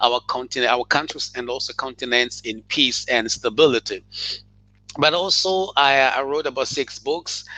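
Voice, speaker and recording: A man's fairly high, bright, sharp voice at a moderate pace with ordinary pitch variation. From Mozambique. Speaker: author and educator. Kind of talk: interview. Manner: halting.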